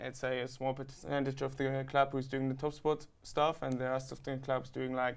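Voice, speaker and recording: A man with a German accent at medium pitch, moderate pace, in a very clean recording with a silent background. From Germany. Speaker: student rower. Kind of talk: interview.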